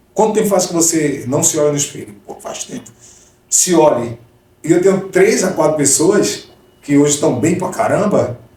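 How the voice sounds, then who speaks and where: A man talks at a moderate pace with a high pitch and lively intonation. Noticeable background noise sits behind him. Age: 40s. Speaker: gospel singer and missionary. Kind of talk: testimony.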